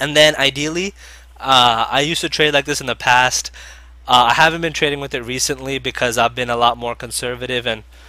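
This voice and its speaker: A man with a bright, sharp tone speaks at a fairly quick pace. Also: medium pitch for a man. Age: 20s. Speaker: penny stock trader and educator. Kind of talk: webinar presentation. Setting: online webinar. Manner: fast.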